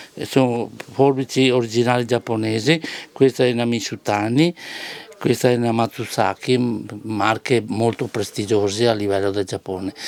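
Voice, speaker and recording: A man talks at a moderate pace in a medium pitch with fairly even intonation. Noticeable background noise is present. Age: 70s. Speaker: knife sharpener. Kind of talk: interview. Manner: halting.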